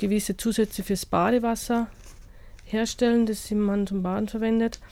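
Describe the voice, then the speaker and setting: A woman with a dark, mellow tone speaks fairly slowly at a fairly high pitch, her intonation monotone and flat. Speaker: studio guest, gardening enthusiast. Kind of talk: radio interview. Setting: radio studio.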